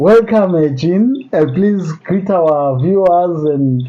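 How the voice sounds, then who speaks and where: Noticeable background noise sits behind a man whose high-pitched voice carries lively intonation. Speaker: podcast host. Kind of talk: casual interview. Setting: in a private home.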